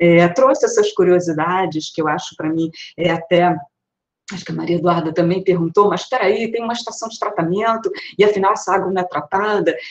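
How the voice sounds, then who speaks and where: Against a quiet background, a woman speaks at a fairly quick pace with ordinary pitch variation and big swings in loudness. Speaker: audience member asking questions; audience member. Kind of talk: discussion comment in online lecture. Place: home room. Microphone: earbuds.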